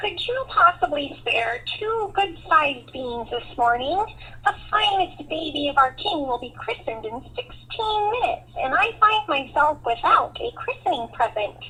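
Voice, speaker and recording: Using a put-on character voice, the speaker talks at a moderate pace in an extremely high pitch with very wide pitch swings, over light background noise. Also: hardly any pauses. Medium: read story. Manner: polite, courteous.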